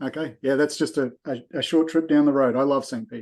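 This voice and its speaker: A man with an Australian accent at a fairly quick pace, over a quiet background. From Australia, Brisbane. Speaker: invited presenter. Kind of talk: casual chat.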